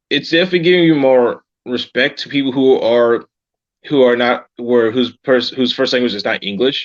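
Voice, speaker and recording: The man has a normal speaking voice of medium pitch. He talks at a moderate pace with ordinary pitch variation. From United States. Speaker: English teacher and travel author. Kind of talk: casual chat.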